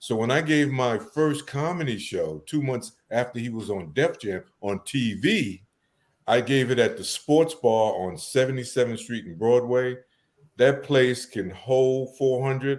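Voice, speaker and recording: A man in a New York accent, medium in pitch with ordinary pitch variation, at a fairly slow pace. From New York City (Harlem, Bronx). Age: 60s. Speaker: event promoter. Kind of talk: casual interview.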